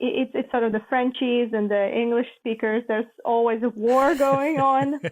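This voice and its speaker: A woman with a Latvian accent, high-pitched, fairly even intonation, very even loudness and hardly any pauses. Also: moderate pace. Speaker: international organization staffer, former journalist. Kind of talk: podcast interview.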